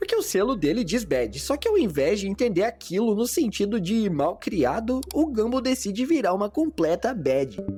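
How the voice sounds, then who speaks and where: The speaker has a Brazilian accent and a moderate pace, with hardly any pauses. Music plays in the background. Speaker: animation review youtuber. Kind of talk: video essay narration. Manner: casual, slangy.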